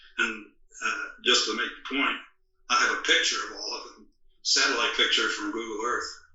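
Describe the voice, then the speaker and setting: Delivered at a moderate pace, the speech comes with audible room echo. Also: man. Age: 80s+. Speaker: author and historical researcher. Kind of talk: interview. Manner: halting, with frequent fillers.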